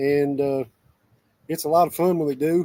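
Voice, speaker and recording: A man is speaking. The tone of his voice is dark and mellow. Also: dry, close sound with no echo. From Southeast Kentucky. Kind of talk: casual chat.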